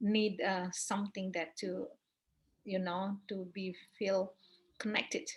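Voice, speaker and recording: Very slowly and with long, frequent pauses, a woman speaks in a flat monotone at a medium pitch, her voice somewhat breathy. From Bali, Indonesia. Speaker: Balinese priestess and yoga teacher. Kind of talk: interview answer. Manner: hesitant, non-native English with fillers.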